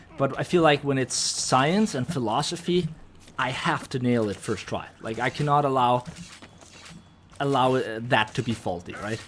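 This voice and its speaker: A man with a slight Danish accent, medium in pitch, with ordinary pitch variation. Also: moderate pace. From Denmark. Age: 20s. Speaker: video game streamer. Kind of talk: live stream chat, reading and answering viewer messages. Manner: casual, with many fillers and restarts.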